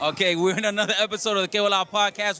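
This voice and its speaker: A man speaks at a high pitch in a raised, projected voice. His tone is animated. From Colombia, Medellín. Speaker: podcast host. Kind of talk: casual interview.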